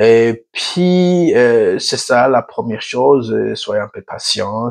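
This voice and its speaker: A man's voice comes through dry and close with no echo. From Burundi. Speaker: YouTuber, African affairs commentator. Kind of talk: channel introduction monologue. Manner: halting, many hesitations; tries to speak slowly.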